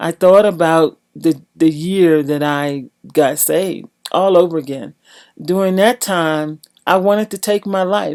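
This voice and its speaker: This woman has a plain, everyday voice, fairly low in pitch with ordinary pitch variation, recorded very cleanly against a silent background with a dry, close sound and no echo. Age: 60s. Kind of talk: testimony.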